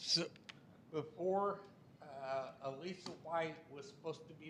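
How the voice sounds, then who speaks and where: Audible room echo and noticeable background noise surround a man speaking in a fairly high pitch. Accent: American. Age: 70s. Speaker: resident speaking at public comment. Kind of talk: public comment at council meeting. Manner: agitated.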